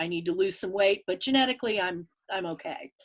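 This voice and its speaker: A woman's plain, everyday voice, medium in pitch, with lively intonation at a fairly quick pace. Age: 60s. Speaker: market researcher and author. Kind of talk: interview.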